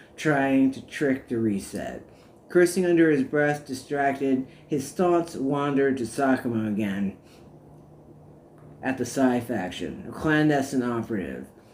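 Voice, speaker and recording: A man with an unremarkable speaking voice talks at a fairly slow pace, with a medium pitch and ordinary pitch variation. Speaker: author reading own work. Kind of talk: audiobook narration.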